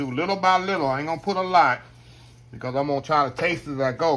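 Talking at a very fast pace, a man has a bright, sharp voice and lively intonation. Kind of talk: casual cooking tutorial chat. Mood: warm, nostalgic about his mother. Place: kitchen. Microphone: phone near.

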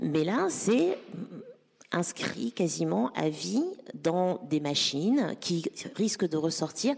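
A woman speaks very slowly, with long, frequent pauses. Her loudness stays very even while her pitch swings very widely. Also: fairly low pitch for a woman. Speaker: digital policy council president and activist. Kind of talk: panel discussion. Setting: stage with audience. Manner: halting.

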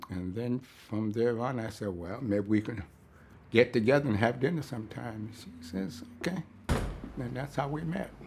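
A man's medium-pitched, somewhat breathy voice with an American accent. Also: moderate pace. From New York, Brooklyn. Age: 80s+. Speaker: war veteran. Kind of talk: interview monologue.

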